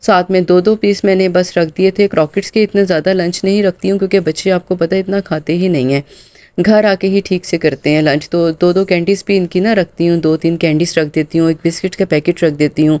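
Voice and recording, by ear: A woman's fairly low, dark, mellow voice, fairly quick, with fairly even intonation.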